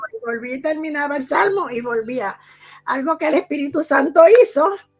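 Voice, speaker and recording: A woman's high voice at a moderate pace, lively in intonation, with big swings in loudness. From Puerto Rico. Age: 80s+. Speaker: testimony guest. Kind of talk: testimony.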